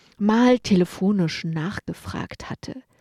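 A woman talks at a very slow pace in a medium pitch, her tone dark and mellow with lively intonation. The sound is dry and close with no echo, on a very clean recording with a silent background. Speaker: radio journalist and columnist. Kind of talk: scripted narration.

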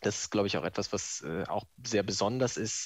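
A man's fairly low-pitched, fairly evenly intoned voice at a moderate pace, an ordinary speaking voice. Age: 20s. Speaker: office clerk. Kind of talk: recorded testimony.

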